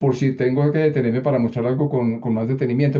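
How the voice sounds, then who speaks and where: Very fast speech comes from a man with a dark, mellow tone. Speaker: copy editor giving a workshop. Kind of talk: online workshop presentation. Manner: halting with many repetitions.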